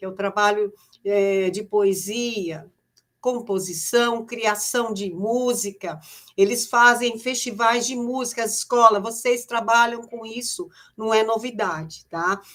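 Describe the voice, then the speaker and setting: Speaking at a very slow pace, a woman has a fairly high pitch. Her loudness swings widely. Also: ordinary pitch variation. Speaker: education trainer for teachers. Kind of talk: online teacher training presentation. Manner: hesitant with repeated fillers.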